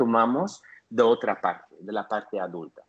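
A man talks with a medium pitch. His pace is fairly slow. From Belgium. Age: 50s. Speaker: therapist. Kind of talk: interview conversation. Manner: halting.

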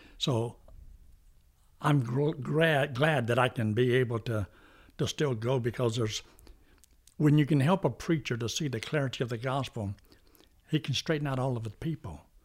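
A man's somewhat breathy, medium-pitched voice at a moderate pace, with long, frequent pauses, ordinary pitch variation, and a very clean recording with a silent background. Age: old. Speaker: pastor and evangelist. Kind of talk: casual interview conversation.

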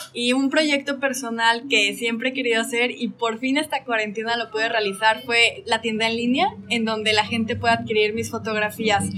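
Using a normal speaking voice, a woman talks at a fairly high pitch and moderate pace, with fairly even intonation and hardly any pauses. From Mexico, Aguascalientes. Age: 20s. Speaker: traveler and photographer. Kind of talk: interview conversation. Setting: in a café.

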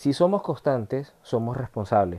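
A man at medium pitch with a dark, mellow tone, speaking at a moderate pace. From Venezuela. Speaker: motivational podcaster. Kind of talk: motivational monologue.

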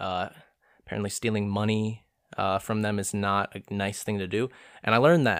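On a very clean recording with a silent background, a man with an American accent speaks at a moderate pace in an animated tone and a fairly low pitch. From Orange County, California. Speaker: podcaster. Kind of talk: casual solo monologue with impressions. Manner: chatty, joking, animated; talks a lot, rambling.

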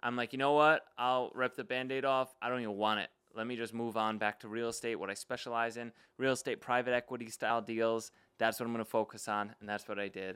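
This man speaks with an American accent at a medium pitch and a very fast pace. His tone is bright and sharp, and his intonation stays flat and monotone. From Long Island, New York. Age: 20s. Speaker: real estate investor. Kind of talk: casual chat.

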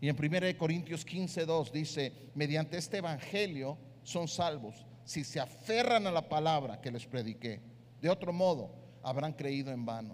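A man's fairly high voice at a fairly slow pace, with audible room echo. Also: lively intonation. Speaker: pastor. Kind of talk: sermon.

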